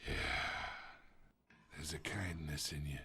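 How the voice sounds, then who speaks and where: In a put-on character voice, a man growls out a raspy, very deep, low sound at a moderate pace. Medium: video game. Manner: smug, manipulative.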